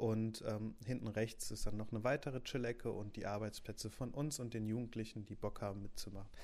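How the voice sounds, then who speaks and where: The man's tone is dark and mellow, his pitch medium. He moves at a fairly quick pace with fairly even intonation. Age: 20s. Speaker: youth newsroom editor. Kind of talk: casual podcast introduction. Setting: home office.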